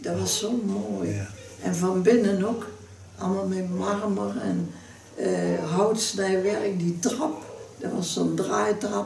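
Amid light background noise and audible room echo, a woman speaks at a very slow pace. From North Brabant, Netherlands (Waspik); North Brabant, Netherlands. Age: 90s. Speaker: local history interviewee; interviewee. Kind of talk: oral history interview. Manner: halting. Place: home room.

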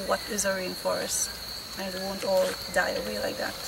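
A woman speaks at a fairly quick pace. Noticeable background noise runs behind her. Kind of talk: interview answer. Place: forest. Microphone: camera far.

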